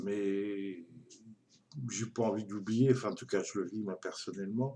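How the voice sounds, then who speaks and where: A man speaks at a fairly slow pace in a fairly low voice, his tone dark and mellow and his intonation fairly even. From Brittany, France (Dinan). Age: 60s. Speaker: retiree vlogger. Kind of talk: personal monologue testimony. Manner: halting, many hesitations.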